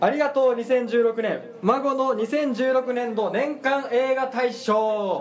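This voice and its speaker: Over noticeable background noise, a man with an extremely high pitch speaks very slowly and with hardly any pauses. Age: 20s. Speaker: podcast host. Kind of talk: casual chat.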